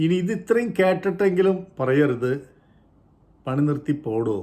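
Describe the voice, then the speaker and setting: A man talks with very wide pitch swings. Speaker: YouTube commentator. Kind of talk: opinion monologue.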